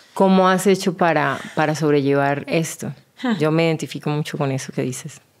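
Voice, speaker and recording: Moderate pace and fairly even intonation. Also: woman, very deep, low pitch for a woman. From Colombia, Bucaramanga. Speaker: podcast host and model. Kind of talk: casual interview.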